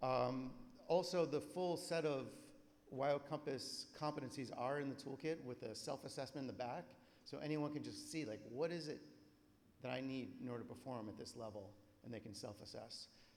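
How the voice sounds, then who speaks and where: Audible room echo surrounds a man whose voice carries vocal fry and ordinary pitch variation. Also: medium pitch for a man. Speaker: conference presenter. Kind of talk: conference presentation. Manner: fast.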